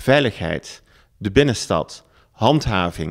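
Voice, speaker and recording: Very wide swings in a man's pitch, captured on a very clean recording against a silent background. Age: 50s. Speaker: local politician and business owner. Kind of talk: political campaign pitch.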